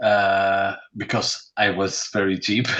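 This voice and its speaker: With music in the background, a man with a Dutch accent speaks at a very slow pace. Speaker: painter. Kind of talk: interview. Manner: halting.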